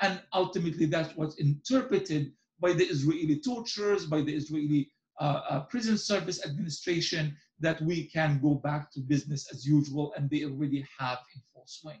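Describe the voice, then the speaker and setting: Speaking with an Arabic accent, a man uses a fairly high pitch, ordinary pitch variation and a moderate pace, with big swings in loudness. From Gaza, Palestine. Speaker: journalist and author. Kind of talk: interview.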